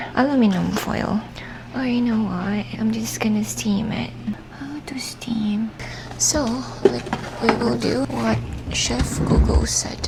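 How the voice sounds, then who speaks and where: Whispering drifts along at a fairly slow pace, broken by long, frequent pauses, over noticeable background noise. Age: 30s. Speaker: vlogger. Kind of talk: casual chat. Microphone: mic far from mouth.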